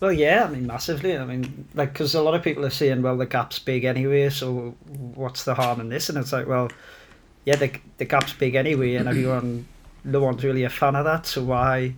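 Speaking with a northern English accent, a man at medium pitch keeps a fairly quick pace and fairly even intonation. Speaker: football podcast co-host. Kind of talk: casual banter chat. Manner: sweary, teasing.

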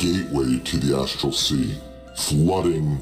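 A man uses a put-on character voice with a very deep, low pitch. Clear music plays in the background. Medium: actual play. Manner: slow, grave, formal.

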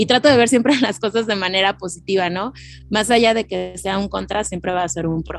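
With a central Mexican accent, the speaker talks at a fairly quick pace with ordinary pitch variation. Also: woman, medium pitch for a woman. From Mexico (Mexico City area). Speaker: recruiter. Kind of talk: interview.

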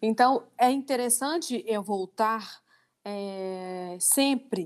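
A woman speaks at a medium pitch. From Minas Gerais, Brazil (Divinópolis). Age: 30s. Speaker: lingerie entrepreneur. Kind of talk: interview discussion. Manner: halting, many repetitions.

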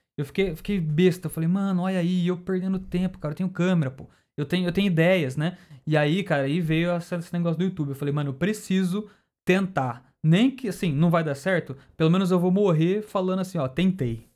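Here a man talks with a high pitch and ordinary pitch variation. His pace is fairly quick. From Campinas, interior of São Paulo state, Brazil. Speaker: YouTuber and graphic designer. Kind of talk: casual chat.

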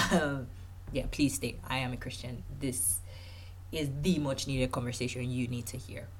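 A woman's extremely low voice at a fairly slow pace, with fairly even intonation

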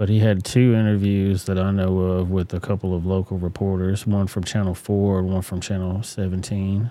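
A man's very deep, low voice with a dark, mellow tone and a Southern US accent, at a moderate pace on a very clean recording with a silent background. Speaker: livestream commentary host. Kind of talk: casual live commentary. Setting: livestream. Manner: animated.

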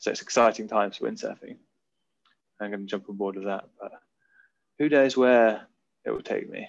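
Talking at a fairly quick pace in a southern English accent, a man leaves long, frequent pauses, with big swings in loudness. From Oxfordshire, England. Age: 20s. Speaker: Olympic windsurfer. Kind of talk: interview.

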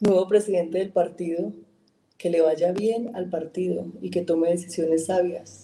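The voice has a dark, mellow tone with vocal fry. It moves at a fairly slow pace. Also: woman, fairly low pitch for a woman, ordinary pitch variation. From Colombia, Caldas. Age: 40s. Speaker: politician, congresswoman. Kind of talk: interview.

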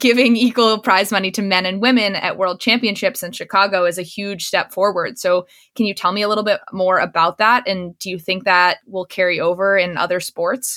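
Speaking at a fairly quick pace, a woman keeps her intonation fairly even. Hers is an unremarkable speaking voice at a medium pitch. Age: young. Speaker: podcast host. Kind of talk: interview.

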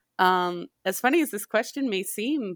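Captured in a dry, close sound with no echo and a silent background, a woman's voice comes through bright and sharp on a very clean recording. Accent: American. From US Midwest, northern Illinois. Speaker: PhD student. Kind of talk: casual interview.

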